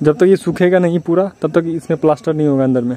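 A man's fairly high-pitched voice with a dark, mellow tone

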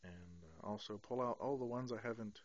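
The voice comes at a fairly slow pace, with a dry sound and no echo. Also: man. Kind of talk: casual vlog chat. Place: home room. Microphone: phone near.

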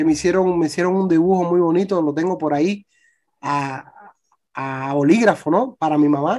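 Someone speaks at a moderate pace in a Cuban accent. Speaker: youtuber and migrant. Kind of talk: testimony. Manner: halting.

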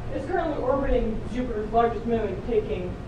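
With audible room echo and noticeable background noise, a woman speaks in a high pitch at a moderate pace. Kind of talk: in-character skit speech. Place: classroom.

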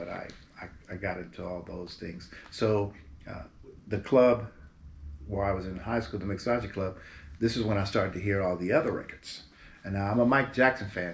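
A man's fairly low, somewhat breathy voice with an American accent, at a moderate pace, with ordinary pitch variation, big swings in loudness, long, frequent pauses and light background noise. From Berkeley, California; California. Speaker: singer. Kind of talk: interview. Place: home room.

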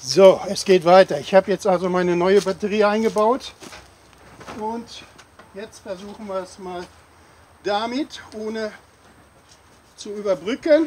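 Over light background noise, a man with a high pitch talks at a fairly slow pace, with long, frequent pauses, big swings in loudness and ordinary pitch variation. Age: 60s. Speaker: hobby car mechanic and video creator. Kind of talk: casual vlog narration. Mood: pleased, enthusiastic. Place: open country. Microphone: camera far.

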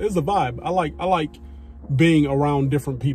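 A man at a fairly quick pace with ordinary pitch variation and light background noise. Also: dry sound with no echo. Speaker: vlogger. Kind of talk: casual vlog chat. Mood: relaxed, amused. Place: car. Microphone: phone near.

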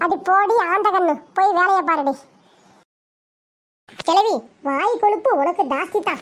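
Very slowly, a woman speaks at an extremely high pitch. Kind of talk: comic village bickering. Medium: fan dub. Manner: boastful, scolding, sly.

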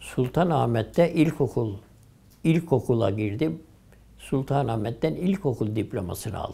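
With vocal fry and a dark, mellow tone, a man talks at a fairly slow pace while his pitch swings very widely. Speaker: retired imam. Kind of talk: oral history interview answer. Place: home room. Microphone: lapel.

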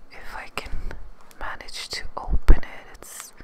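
Whispering at a very slow pace, a woman speaks. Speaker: beauty ASMR creator. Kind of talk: ASMR video talking to camera. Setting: close microphone, ASMR recording. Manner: whispered, soft-spoken. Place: home room. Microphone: studio mic.

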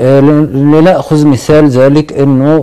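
A man speaking at a very slow pace. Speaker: guest, commentator. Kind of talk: interview answer. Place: studio.

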